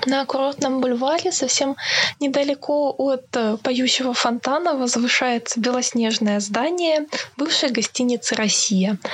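Over noticeable background noise, a woman talks at a fairly slow pace in a high pitch, with ordinary pitch variation and very even loudness. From Krasnodar, southern Russia. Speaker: culture and history blogger, museum worker. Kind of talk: storytelling interview. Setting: remote call from home.

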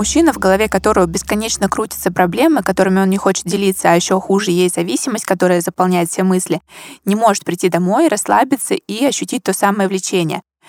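A woman speaks very fast with a medium pitch and ordinary pitch variation. Her loudness is very even, and the sound is dry and close with no echo. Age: 20s. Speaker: podcast host. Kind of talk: podcast interview.

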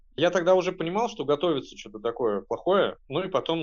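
Male voice with vocal fry at a fairly quick pace. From Russia, Penza. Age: 30s. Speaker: artist and activist. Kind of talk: personal recollection.

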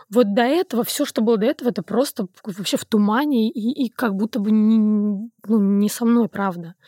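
With a fairly high pitch and a dark, mellow tone, a woman talks at a moderate pace with ordinary pitch variation in a dry, close sound with no echo. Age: 30s. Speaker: podcast guest. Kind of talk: casual chat.

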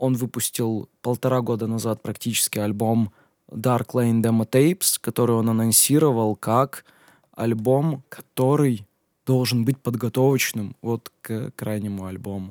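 A man with a plain, everyday voice speaks at a medium pitch and a fairly slow pace, with fairly even intonation. The sound is dry and close with no echo, on a very clean recording with a silent background. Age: 20s. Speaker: DJ and music producer. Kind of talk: solo Q&A podcast. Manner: casual, with filler sounds.

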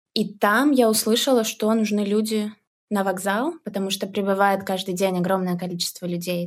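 A woman's unremarkable speaking voice, pitched in the middle and ordinary in its variation, captured very cleanly against a silent background. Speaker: volunteer. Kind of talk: interview, casual chat.

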